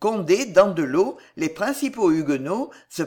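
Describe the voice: The text is given plain reading aloud. Nothing more is added to the delivery.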